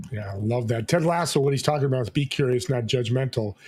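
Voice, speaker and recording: Very fast, somewhat breathy speech from a man at medium pitch, in a very clean recording with a silent background. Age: 60s. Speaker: talk show host. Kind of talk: interview show. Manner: animated.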